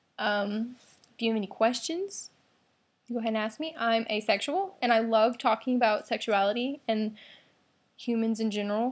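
A woman at a moderate pace, with ordinary pitch variation and long, frequent pauses. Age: 18. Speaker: vlogger. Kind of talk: casual vlog monologue. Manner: hesitant, many fillers. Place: home room. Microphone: webcam.

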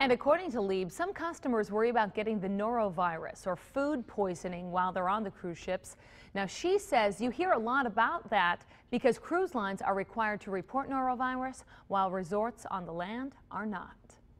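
At a moderate pace, a woman with a fairly high pitch speaks with lively intonation. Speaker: news anchor. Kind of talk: TV news reading. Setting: TV studio. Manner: formal, steady, polished newsreader delivery. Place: studio. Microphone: lapel.

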